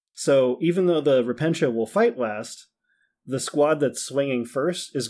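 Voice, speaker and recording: On a very clean recording with a silent background, a man with a normal speaking voice talks at a moderate pace in a medium pitch with ordinary pitch variation. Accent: American. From Minnesota. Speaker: tabletop wargame player. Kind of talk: casual chat.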